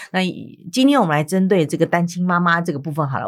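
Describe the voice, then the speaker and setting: At a very fast pace, a woman speaks in a fairly low voice. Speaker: radio host. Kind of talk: casual interview.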